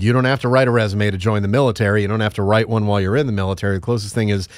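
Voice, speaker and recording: Fairly even in intonation and fairly low in pitch, a man speaks on a very clean recording with a silent background. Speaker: radio host for a veterans outlet; military veteran. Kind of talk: interview. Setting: studio.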